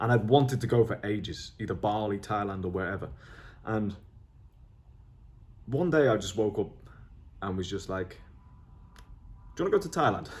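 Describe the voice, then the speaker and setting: Somewhat breathy and fairly low in pitch, a man speaks at a fairly quick pace with ordinary pitch variation and long, frequent pauses. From northern England, near Liverpool. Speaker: online entrepreneur vlogger. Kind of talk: video journal, talking to camera. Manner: casual, hesitant with fillers and restarts.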